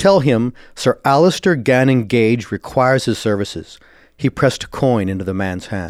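The delivery has a dramatic tone. It moves at a moderate pace. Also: man, very clean recording, silent background. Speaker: podcast host and author. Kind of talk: dramatic narration of a short story, read aloud. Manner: measured, dramatic storyteller pacing with tense, vivid delivery.

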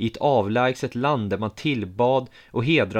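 Pitch variation here is ordinary. The delivery is a natural reading voice.

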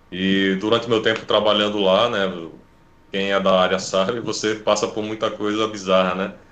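A man speaks at a moderate pace in a fairly low voice with flat, monotone intonation. Audible room echo surrounds his voice. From Recife, Brazil. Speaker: webcomic artist, former IT support worker. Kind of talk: casual interview chat.

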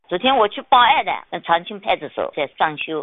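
Her pitch rises and falls across a very wide range. The woman's delivery moves fairly quickly. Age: 70s. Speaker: caller. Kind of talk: personal testimony and appeal.

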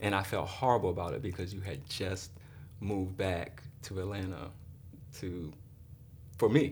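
A man's very deep, low voice, somewhat breathy, with long, frequent pauses and audible room echo. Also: ordinary pitch variation, moderate pace. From Baltimore and Miami. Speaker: host's husband. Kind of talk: casual chat.

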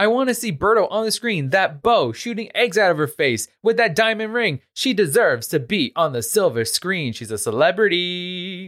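Speaking with a New York accent on a very clean recording with a silent background, a man talks at a moderate pace in a high pitch with very wide swings. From Queens, New York. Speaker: podcast host. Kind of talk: casual chat.

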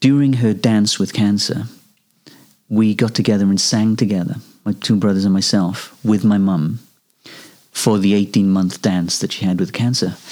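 A man with a Welsh accent speaks at a fairly low pitch and a moderate pace, with long, frequent pauses. His loudness stays very even and his intonation fairly even. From Wales. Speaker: singer-songwriter. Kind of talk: interview.

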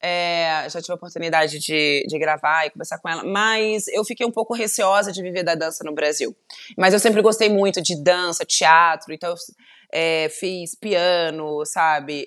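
A woman with a slight Carioca accent, fairly low pitch and moderate pace, against a quiet background. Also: ordinary pitch variation. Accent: light carioca. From Volta Redonda, interior of Rio de Janeiro state, Brazil. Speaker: TV journalist and presenter. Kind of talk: casual interview chat.

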